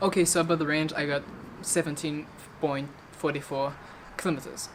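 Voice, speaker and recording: A woman with a very deep, low pitch talks amid noticeable background noise. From Belgium. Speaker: electric skateboard vlogger. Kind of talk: casual vlog. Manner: halting.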